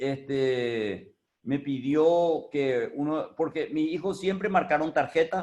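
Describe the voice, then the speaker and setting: This is a man with a fairly high pitch. His pitch variation is ordinary. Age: 60s. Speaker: business owner. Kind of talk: talk on experience. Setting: video call.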